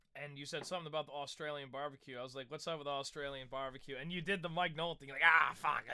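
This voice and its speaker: A man talks at a very fast pace with hardly any pauses, his intonation monotone and flat. His tone is bright and sharp, and his loudness swings widely. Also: fairly high pitch for a man. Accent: American. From United States. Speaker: musician. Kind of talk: casual chat.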